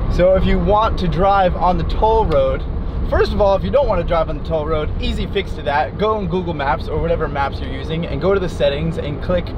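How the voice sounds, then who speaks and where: A man speaks at a fairly quick pace, his voice dry with no echo and noticeable background noise behind it. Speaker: travel vlogger driving. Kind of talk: casual vlog chat. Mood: amused, exasperated. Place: car.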